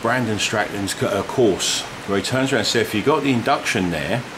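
Noticeable background noise beneath a man speaking. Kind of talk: tutorial explanation. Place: garage. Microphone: phone near.

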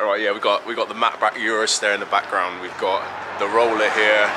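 Noticeable background noise is present. Over it, a man talks. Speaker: family vlogger. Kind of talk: casual vlog chat. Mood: relaxed, a bit subdued. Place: street. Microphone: phone near.

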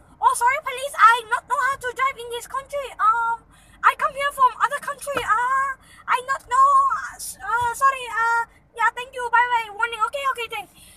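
A woman uses a put-on character voice at an extremely high pitch. She leaves long pauses, and they come often. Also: moderate pace. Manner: apologetic, feigning ignorance.

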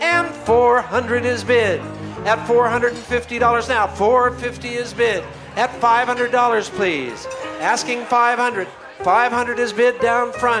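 Clear music plays in the background as a man with an extremely high pitch speaks in fairly even intonation. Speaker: live benefit auctioneer. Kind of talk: rapid auctioneer bid calling. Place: hall.

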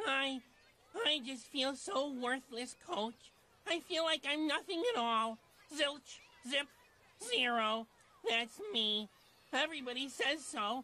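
A female-sounding, high-pitched cartoonish character voice speaks with long, frequent pauses. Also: fairly slow pace. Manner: dejected, hesitant, then cheerful.

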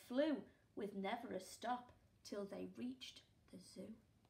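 The voice is sing-song, with an animated, warm tone and lively intonation. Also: woman. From England. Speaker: primary school teacher. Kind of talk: children's storybook reading, playful rhyming read-aloud. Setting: video lesson recorded for home learning. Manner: animated, sing-song, expressive; warm, gentle, interactive with pauses for questions. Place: home room. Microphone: phone near.

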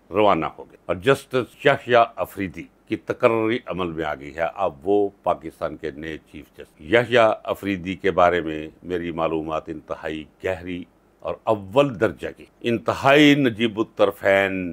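At a fairly slow pace, a man speaks with lively intonation and big swings in loudness. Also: fairly low pitch for a man. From Pakistan. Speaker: vlogger and lawyer commenting on politics; vlogger, lawyer commenting on politics. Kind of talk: political commentary vlog. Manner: impassioned. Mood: angry, critical. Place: office.

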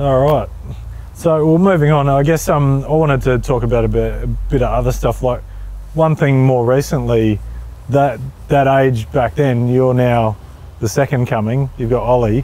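A man's medium-pitched voice with an Australian accent, at a moderate pace, fairly even intonation and very even loudness, in a dry sound with no echo. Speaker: motoring channel host; interview host. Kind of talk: casual interview. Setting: outdoors at a speedway. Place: stadium. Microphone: lapel.

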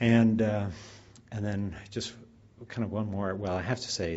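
The man talks at a moderate pace. Light background noise is present. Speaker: speaker. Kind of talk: speaker introduction. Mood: warm, lightly humorous. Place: hall. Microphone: podium.

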